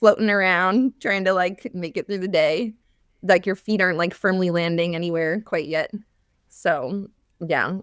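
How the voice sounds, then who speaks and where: A woman has an ordinary speaking voice at medium pitch, speaking at a moderate pace with ordinary pitch variation. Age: 30s. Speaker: former teacher turned business coach for moms. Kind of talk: podcast interview. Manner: casual, many fillers like 'like'.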